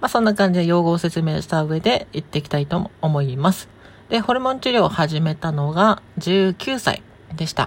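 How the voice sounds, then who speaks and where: Relaxed and somewhat breathy, a woman with a fairly low pitch talks at a moderate pace with lively intonation. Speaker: podcast host, transgender woman answering listener questions. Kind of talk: casual solo talk. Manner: relaxed, with frequent laughs.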